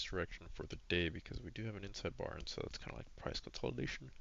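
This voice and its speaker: Soft-spoken, a man talks at a fairly quick pace with a very deep, low pitch and vocal fry. His pitch varies in an ordinary way. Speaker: retail options trader, trading journal vlogger. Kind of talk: screen-share trading recap. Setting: home, recording at a computer. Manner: quiet, soft-spoken; casual, with many fillers.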